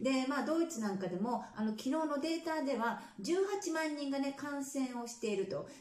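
A high-pitched woman talks at a moderate pace with lively intonation and hardly any pauses, and audible room echo surrounds her. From Japan. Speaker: nurse and health vlogger. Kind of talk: casual vlog news commentary. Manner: conversational, many fillers. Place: home room.

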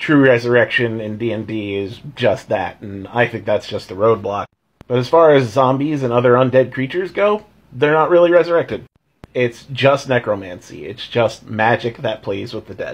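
Big swings in loudness run through this man's voice. He keeps to a moderate pace. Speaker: tabletop game commentator. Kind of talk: casual vlog chat. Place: home room. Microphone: phone near.

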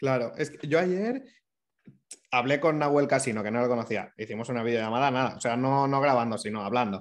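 A man speaks with a medium pitch and ordinary pitch variation. His pace is fairly quick. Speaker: digital entrepreneur; interview guest. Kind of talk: casual interview chat. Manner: fast. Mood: relaxed conversational. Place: home room. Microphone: video call.

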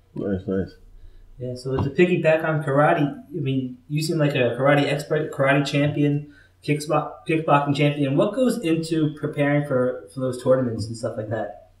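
A man's fairly high pitch shows ordinary pitch variation as he talks at a moderate pace in a normal speaking voice. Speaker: podcast host. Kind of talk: casual interview.

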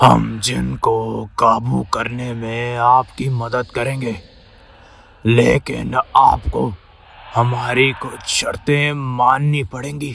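This is a cartoonish character voice. It moves at a very slow pace. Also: man, medium pitch for a man. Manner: bargaining, eerie.

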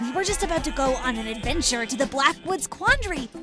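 A cartoonish character voice carries the clip. Clear music plays in the background. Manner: friendly, hesitant.

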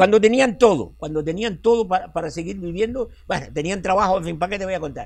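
At a very fast pace, a man talks in a high pitch with ordinary pitch variation. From La Guancha, Tenerife; Tenerife, Spain. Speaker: local chronicler and retired teacher; retired teacher. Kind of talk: interview answer. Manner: animated, talkative. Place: street. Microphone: lapel.

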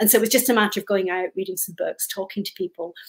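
Against a quiet background, a woman talks at a very fast pace, somewhat breathy, at a medium pitch with ordinary pitch variation. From Scotland. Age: 50s. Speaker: author; guest. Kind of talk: interview. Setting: video call. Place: home room.

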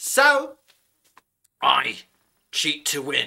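A man performs in a put-on character voice. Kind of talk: comic overacting. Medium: solo performance. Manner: gloating, boastful, rising to a shout.

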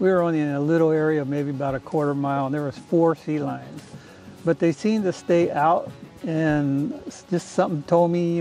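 A man talks at a fairly quick pace with ordinary pitch variation. Faint music plays behind the dry sound with no echo. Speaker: fishing guide or angler. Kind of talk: interview answer. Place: boat. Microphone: camera far.

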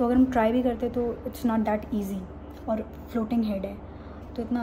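Noticeable noise runs behind a woman whose intonation is monotone and flat. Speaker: expectant mother vlogger. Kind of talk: casual vlog chat. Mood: calm, mildly nervous, reflective. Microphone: phone near.

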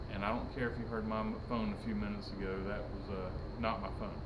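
A man is talking. Music plays in the background. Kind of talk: casual vlog chat. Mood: joking, playful banter. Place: garage. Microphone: phone near.

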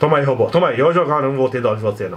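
A man's animated voice with lively intonation. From Brazil. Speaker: gaming youtuber; gaming streamer. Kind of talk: gameplay commentary.

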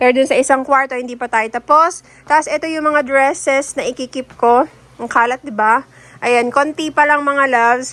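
Here a woman talks at a moderate pace in a high pitch. Her tone is bright and sharp. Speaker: vlogger. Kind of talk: casual vlog talk to viewers. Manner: animated.

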